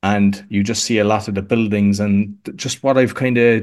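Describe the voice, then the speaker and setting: Moderate pace and monotone, flat intonation in an Irish accent, over a quiet background. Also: man. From Ireland, Cork. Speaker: podcast coach. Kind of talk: interview conversation.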